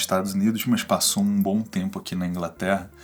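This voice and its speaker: A man with a plain, everyday voice speaks at a fairly quick pace, his fairly low pitch showing ordinary pitch variation. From Brazil. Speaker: YouTuber interviewer. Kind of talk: video introduction; interview.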